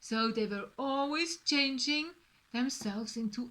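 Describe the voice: The text is read aloud plainly, with ordinary variation in pitch.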